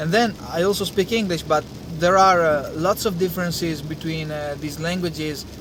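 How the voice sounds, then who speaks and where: Over noticeable background noise, a man with an Italian accent speaks at a moderate pace in a high pitch with fairly even intonation. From Italy. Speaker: engineer and language-learning vlogger. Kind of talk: casual talk to camera. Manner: hesitant, many fillers.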